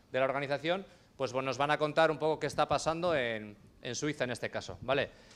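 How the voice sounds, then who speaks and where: Recorded very cleanly against a silent background, a man talks at a fairly high pitch with ordinary pitch variation. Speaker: panel moderator. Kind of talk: panel introduction. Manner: fast.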